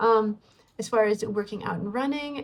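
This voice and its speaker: Fairly high-pitched and somewhat breathy, from a woman. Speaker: cross-stitch vlogger. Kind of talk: casual vlog chat. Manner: hesitant, many fillers.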